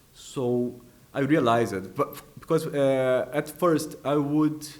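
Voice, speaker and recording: A man is speaking. He has a Portuguese accent. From Brazil. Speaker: artist and composer. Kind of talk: interview answer.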